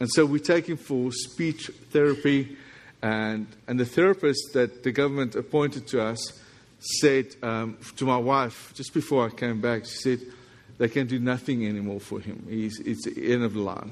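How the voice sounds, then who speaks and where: The man's pitch sits at a medium level with ordinary pitch variation. He keeps a moderate pace. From South Africa. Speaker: visiting pastor. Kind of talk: sermon. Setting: church with congregation.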